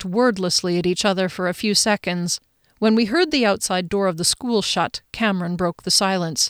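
An unforced reading voice, with ordinary rises and falls in pitch, sits against a quiet background.

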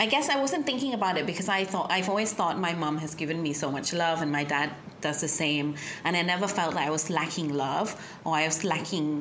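Through noticeable background noise, a woman with a fairly low pitch speaks at a fairly quick pace with lively intonation and very even loudness. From Thailand, schooled in UK from 11. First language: Thai. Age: 30s. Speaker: sound healer. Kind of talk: casual interview chat.

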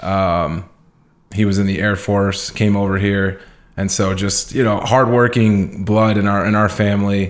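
On a very clean recording with a silent background, a man speaks fairly slowly at a fairly low pitch, his intonation monotone and flat and his loudness very even. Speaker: entrepreneur. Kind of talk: interview. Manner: casual, filler-heavy.

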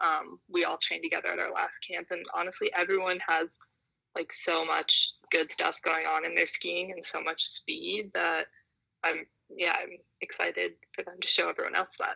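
In an American accent, a woman speaks at a moderate pace with a dry, close sound and no echo. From United States. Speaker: alpine ski racer. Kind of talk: interview. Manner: hesitant, many fillers.

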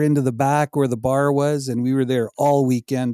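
At a moderate pace, a man speaks in a dark, mellow tone with a fairly high pitch and fairly even intonation, in a dry, close sound with no echo. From Saskatchewan, Canada. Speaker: e-commerce seller. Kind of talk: casual interview.

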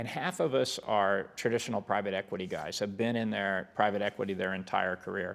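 A man with an American accent and an ordinary speaking voice, fairly low in pitch, at a fairly quick pace, on a very clean recording with a silent background. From Kansas, small Mennonite farm town. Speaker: business executive. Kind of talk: interview.

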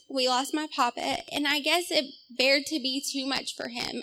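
With a Southern US accent, a woman speaks in a raised, projected voice at a high pitch and moderate pace, with a bright, sharp tone and fairly even intonation. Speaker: testimony giver. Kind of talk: testimony. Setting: church.

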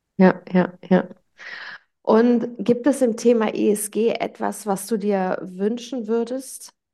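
A woman with a dark, mellow tone, a very slow pace and fairly even intonation. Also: fairly high pitch for a woman. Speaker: podcast host. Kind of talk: interview. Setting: remote interview over the internet. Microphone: poor audio quality from internet recording.

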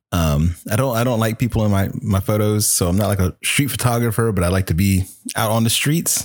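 A man with an American accent and a plain, everyday voice speaks at a fairly quick pace and fairly low pitch, with ordinary pitch variation and very even loudness, in a very clean recording with a silent background. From US South, Virginia (Chesapeake). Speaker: hobbyist photographer. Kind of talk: casual chat.

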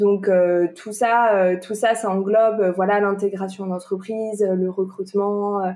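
A woman speaks at a medium pitch and a fairly slow pace. Her tone is dark and mellow, her intonation monotone and flat. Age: 20s. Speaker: entrepreneurship coach. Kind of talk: podcast interview.

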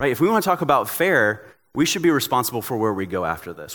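In a very clean recording with a silent background, a man with a plain, everyday voice speaks at a fairly quick pace with lively intonation. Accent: American. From Tennessee, US South. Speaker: pastor. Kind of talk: sermon.

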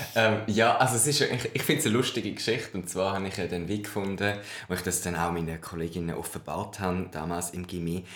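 A man with a very deep, low pitch, ordinary pitch variation and a very fast pace, amid audible room echo and noticeable background noise. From Switzerland. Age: 20s. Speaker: drag queen and history graduate. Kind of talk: casual interview chat.

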